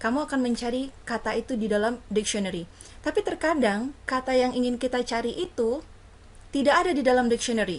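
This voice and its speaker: This woman has an Indonesian accent and a high pitch. She talks at a fairly quick pace. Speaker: university lecturer. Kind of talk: lecture. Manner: code-switching between English and Indonesian.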